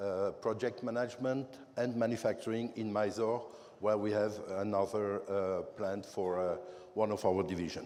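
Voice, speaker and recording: With audible room echo, a man speaks at a moderate pace in a fairly low pitch, his dark, mellow tone carrying fairly even intonation. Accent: French. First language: French. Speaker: company manager presenting. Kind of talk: conference presentation. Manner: halting, many fillers.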